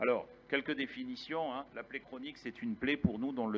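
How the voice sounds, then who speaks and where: Here a man speaks at a fairly quick pace. His pitch variation is ordinary. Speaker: infectious disease physician, conference speaker. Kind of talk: conference lecture. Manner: fast.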